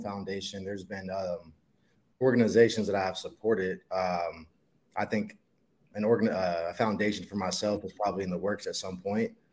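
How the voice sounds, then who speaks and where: A man with a Midwestern American accent and a fairly low pitch, fairly even in intonation, at a moderate pace on a very clean recording with a silent background. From Ohio, Dayton and Columbus. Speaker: professional football player. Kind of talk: interview.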